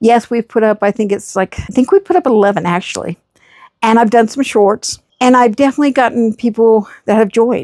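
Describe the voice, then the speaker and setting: Dry and close with no echo, a woman's fairly high voice has a dark, mellow tone and ordinary pitch variation. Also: fairly quick pace. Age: 60s. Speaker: podcast host and mental health therapist. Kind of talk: casual vlog talk to camera. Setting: outdoors in her backyard. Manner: conversational, unscripted.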